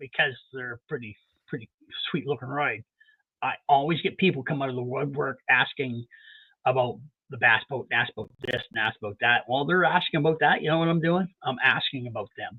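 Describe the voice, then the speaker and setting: With an unremarkable speaking voice, a man talks at a moderate speed, his pitch fairly high and varying in an ordinary way. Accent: Canadian. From Canada. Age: 60s. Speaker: mechanic. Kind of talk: casual chat.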